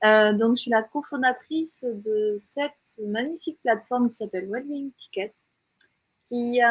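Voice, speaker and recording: In a slight southern French accent, a woman speaks at a fairly high pitch with fairly even intonation and a dry, close sound with no echo. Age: 40s. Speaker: entrepreneur, platform co-founder. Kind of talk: interview.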